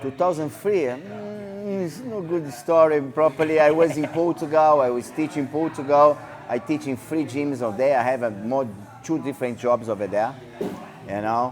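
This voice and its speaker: Lively intonation in a non-native accent over noticeable background noise. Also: man, fairly high pitch for a man, moderate pace. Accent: foreign accent, non-native English. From Brazil (Rio de Janeiro). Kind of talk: casual interview. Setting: martial arts gym. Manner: halting, broken English.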